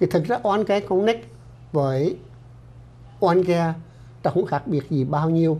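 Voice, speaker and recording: At a moderate pace and high pitch, a man with a dark, mellow tone speaks with ordinary pitch variation and long, frequent pauses. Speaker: doctor and clinic director. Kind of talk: informational health-group presentation. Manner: formal. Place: studio. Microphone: lapel.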